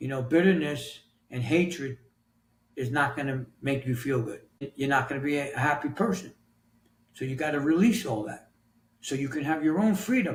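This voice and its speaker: A somewhat breathy man with a fairly high pitch, moderate pace, ordinary pitch variation and long, frequent pauses. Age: 60s. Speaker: author and health coach. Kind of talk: podcast interview answer.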